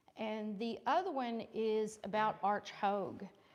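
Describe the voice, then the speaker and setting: Very slowly, a woman speaks in a medium-pitched voice. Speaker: historian, invited speaker. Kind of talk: lecture. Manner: loud.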